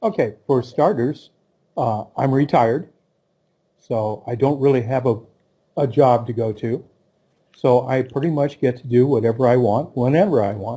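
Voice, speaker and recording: With an American accent, a man speaks at a moderate pace in a medium-pitched, dark, mellow and somewhat breathy voice, with ordinary pitch variation and long, frequent pauses. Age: 60s. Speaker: retiree on a dating profile. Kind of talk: interview.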